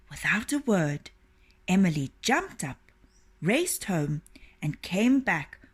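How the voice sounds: A natural reading voice is what comes across here.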